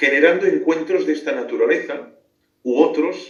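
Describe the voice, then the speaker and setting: Speaking at a moderate pace, a man talks in a Catalan accent. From Catalonia, Spain. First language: Catalan (speaking Spanish). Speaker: philosopher and theologian. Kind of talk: radio interview. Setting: remote call into radio show.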